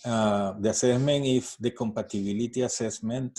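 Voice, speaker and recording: Speaking at a fairly slow pace, a man with a Spanish accent has a dark, mellow tone and fairly even intonation. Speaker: astrology card reader. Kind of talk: tutorial. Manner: halting.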